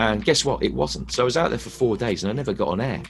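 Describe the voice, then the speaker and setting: Over music in the background, a man speaks at a very fast pace with lively intonation. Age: 40s. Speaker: football commentator. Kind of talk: interview answer. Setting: online video call interview.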